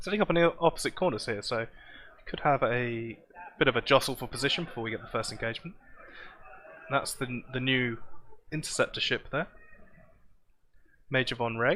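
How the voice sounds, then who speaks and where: A man with a southern English accent talks at a fairly quick pace, using long, frequent pauses. His medium-pitched voice has a bright, sharp tone and ordinary pitch variation. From southern England, Southampton. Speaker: game stream commentator. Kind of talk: live commentary. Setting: live event arena.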